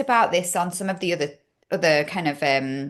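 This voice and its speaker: A woman's fairly quick speech in a Yorkshire accent. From Yorkshire, northern England. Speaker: podcast host. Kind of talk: casual interview chat.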